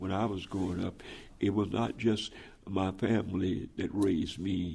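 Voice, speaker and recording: An American-accented man speaks at a moderate pace with monotone, flat intonation. His very deep, low voice is dark, mellow and somewhat breathy. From US South. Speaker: pastor. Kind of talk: oral history interview.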